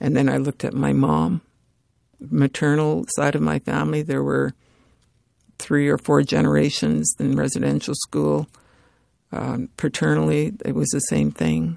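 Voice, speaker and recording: A woman with a Canadian accent at a moderate pace, long and frequent pauses, and a dry, close sound with no echo. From northern Alberta, Canada (First Nations). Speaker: author and activist. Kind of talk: interview.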